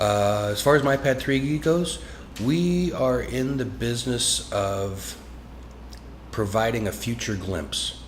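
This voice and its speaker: With audible room echo, a man with an American accent speaks at a very slow pace with lively intonation. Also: medium pitch for a man. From Washington State, US. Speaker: business owner. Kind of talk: interview.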